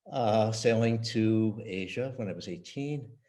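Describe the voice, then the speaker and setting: A man's medium-pitched, dark, mellow voice with an American accent and fairly even intonation, plus audible room echo. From US West Coast, San Francisco. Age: 70s. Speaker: retired tech executive. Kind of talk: interview. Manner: halting.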